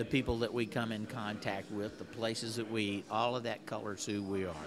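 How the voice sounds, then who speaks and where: Against noticeable background noise, the speaker talks at a fairly quick pace with monotone, flat intonation. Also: man, fairly low pitch for a man. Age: 60s. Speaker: podcast co-host. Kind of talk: casual chat.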